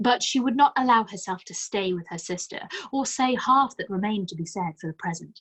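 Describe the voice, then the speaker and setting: A woman with a plain, everyday voice talks at a fairly quick pace, her pitch medium and her intonation lively. Her loudness swings a lot. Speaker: audiobook narrator. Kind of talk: classic novel read aloud.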